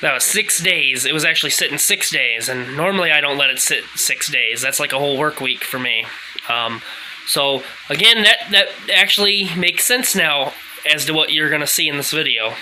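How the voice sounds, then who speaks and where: A man at a moderate pace, his intonation lively, amid noticeable background noise. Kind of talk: casual talk to camera. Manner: halting, stuttering.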